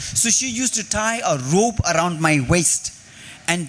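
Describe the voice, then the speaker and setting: With a Tibetan accent, a man speaks at a fairly slow pace in a high pitch and lively intonation, with noticeable background noise. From India, Tibetan refugee community in Karnataka. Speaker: poet and activist. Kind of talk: interview talk with poetry reading. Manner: halting, with fillers and repetitions.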